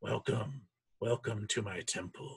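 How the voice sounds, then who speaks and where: This man uses a put-on character voice. He speaks at a fairly slow pace and a medium pitch. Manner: eerie, ominous.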